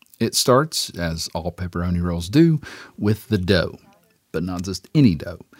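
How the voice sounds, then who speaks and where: With an American accent, a man speaks at a very deep, low pitch in a dry, close sound with no echo. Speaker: food reporter. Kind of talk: radio feature narration.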